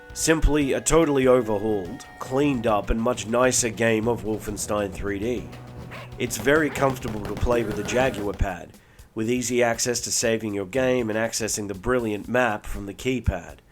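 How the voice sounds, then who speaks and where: Backed by music in the background, a man speaks at a moderate pace with fairly even intonation. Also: medium pitch for a man. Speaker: retro game reviewer. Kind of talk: game review narration. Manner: low energy.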